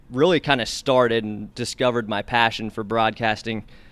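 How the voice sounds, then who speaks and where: This is a normal speaking voice with fairly even intonation. The recording is very clean, over a silent background. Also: man. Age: 20s. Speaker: sports broadcaster. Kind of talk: casual interview.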